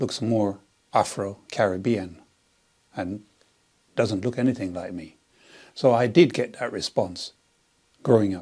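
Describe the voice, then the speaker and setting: With a strong Jamaican accent, a man speaks at a fairly slow pace, his fairly low pitch carrying a dark, mellow tone and ordinary pitch variation. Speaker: interviewee. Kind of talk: interview.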